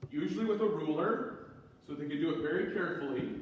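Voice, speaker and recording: A man speaks at a moderate pace with lively intonation, over noticeable background noise and audible room echo. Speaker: priest. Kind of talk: lecture. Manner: pitch goes up and down.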